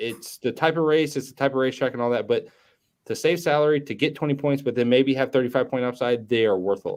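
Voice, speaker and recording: Speech comes at a very fast pace with ordinary pitch variation. The recording is very clean, with a silent background. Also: man, medium pitch for a man. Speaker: fantasy sports podcast host. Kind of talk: casual chat. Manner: slightly slurred words.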